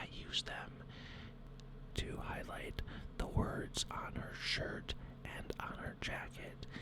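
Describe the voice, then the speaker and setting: A man whispers while noticeable background noise fills the recording. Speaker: hobby miniature painter and 3D printing channel host. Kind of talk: hobby painting tutorial narration to camera.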